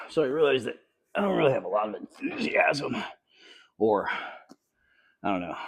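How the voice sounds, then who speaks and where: A calm, relaxed tone at a fairly quick pace, broken by long, frequent pauses. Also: man. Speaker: fitness vlogger. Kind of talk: workout vlog commentary.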